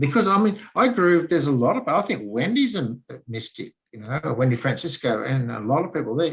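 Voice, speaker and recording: A man talks at a fairly quick pace in a fairly high pitch. His voice is somewhat breathy, with very wide pitch swings. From Germany. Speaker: interview guest. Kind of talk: casual chat.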